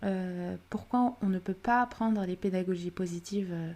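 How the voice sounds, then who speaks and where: Fairly even in intonation, a woman talks at a fairly slow pace. Her medium-pitched voice has a dark, mellow tone. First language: Arabic (speaking French). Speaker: parenting podcast host. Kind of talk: solo podcast monologue. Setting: at home during children's nap. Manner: some hesitation and repeated words.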